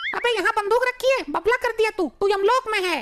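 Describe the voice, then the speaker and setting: In a put-on character voice, a woman talks at a very fast pace, squeaky and at an extremely high pitch, with very even loudness. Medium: voice reel. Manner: mocking, insolent.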